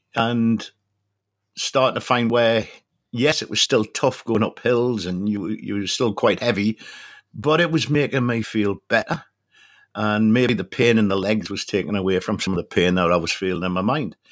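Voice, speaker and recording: A man speaks with a Geordie accent on a very clean recording with a silent background. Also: fairly low pitch for a man, ordinary pitch variation, moderate pace. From north-east England, Newcastle. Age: 60s. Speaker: charity fundraiser and army veteran. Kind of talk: interview.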